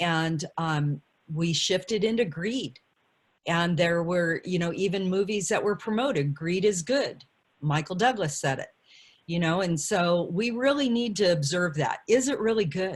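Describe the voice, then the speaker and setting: A woman speaks with lively intonation in a fairly low voice. Her voice is somewhat breathy. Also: fairly slow pace. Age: 60s. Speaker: panelist, community elder. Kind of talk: panel discussion.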